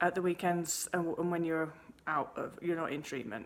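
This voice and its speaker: A woman with an English accent talks at a medium pitch. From England. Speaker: eating disorder recovery coach. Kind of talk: answering viewer email, advice monologue. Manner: casual, with frequent false starts and self-corrections.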